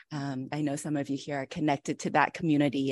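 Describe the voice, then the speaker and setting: A woman talks at a fairly quick pace with a General American accent. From US (Pittsburgh and Seattle areas), born in Shanghai. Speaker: author. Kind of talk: author talk. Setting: live event with audience.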